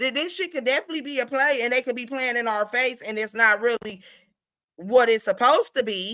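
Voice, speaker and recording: Animated and bright, with a sharp tone, a woman speaks fairly quickly in a high pitch with ordinary pitch variation. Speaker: livestream gossip commentator. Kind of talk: casual livestream commentary.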